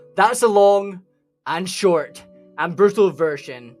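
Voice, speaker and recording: A man speaks with a Scottish accent at a high pitch. Music plays in the background. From Scotland. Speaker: gaming lore YouTuber. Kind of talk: video game lore explainer narration. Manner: irreverent, profane, energetic.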